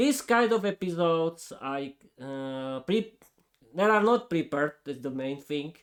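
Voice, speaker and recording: With a Slovak accent, a man talks at a fairly high pitch and fairly slow pace, his pitch swinging very widely. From eastern Slovakia. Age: 30s. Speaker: podcaster, English learner. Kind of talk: unscripted monologue. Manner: hesitant, with fillers and restarts.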